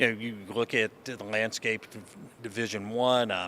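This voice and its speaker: In an Appalachian accent, a man speaks at a fairly low pitch with monotone, flat intonation. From Eastern Kentucky. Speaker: college sports conference commissioner. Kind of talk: interview. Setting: convention. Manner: halting, many fillers.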